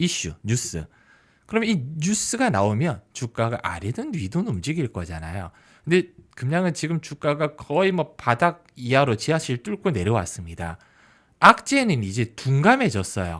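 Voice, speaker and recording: Very clean and silent in the background, the recording has a man at medium pitch swinging very widely in pitch at a fairly slow pace. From Busan, South Korea. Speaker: stock market YouTuber, former journalist. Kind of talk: solo market commentary.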